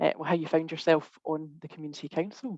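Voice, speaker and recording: A woman's fairly low pitch at a moderate pace. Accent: Scottish. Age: 30s. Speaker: webinar host. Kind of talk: webinar hosting. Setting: video call.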